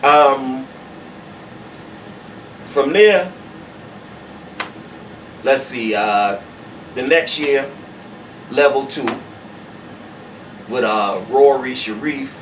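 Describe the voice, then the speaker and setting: With an American accent and a medium pitch, a man talks at a very slow pace with long, frequent pauses and ordinary pitch variation, over noticeable background noise. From Charleston, South Carolina. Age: old. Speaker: spoken word poet. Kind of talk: interview answer. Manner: casual, hesitant.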